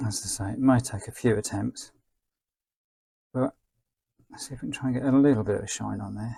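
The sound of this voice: A man speaks at medium pitch with a dark, mellow tone, a husky, rough edge and vocal fry. His pitch varies in an ordinary way, and his pace is fairly quick.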